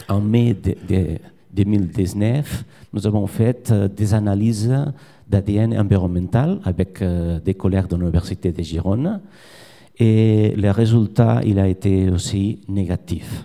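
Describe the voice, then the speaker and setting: Speaking very slowly in a Spanish accent, a man uses a fairly low, dark, mellow voice with fairly even intonation on a very clean recording with a silent background. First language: Spanish or Catalan (speaking French). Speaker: fish biologist, research professor. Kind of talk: conference presentation. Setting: conference with audience. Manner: halting.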